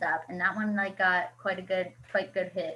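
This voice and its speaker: A woman talks in an animated tone. Her pace is fairly quick. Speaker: social media coach. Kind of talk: video call workshop.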